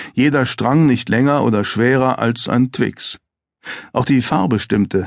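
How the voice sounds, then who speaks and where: A calm, serious tone at a very slow pace, with very even loudness, ordinary pitch variation and a quiet background. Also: man. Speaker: audiobook narrator. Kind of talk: dramatic audiobook narration of a thriller, read aloud. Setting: studio. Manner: tense, suspenseful, measured pacing that builds to a chilling, controlled calm; gravely serious, vividly descriptive, with dramatic emphasis on short sentences.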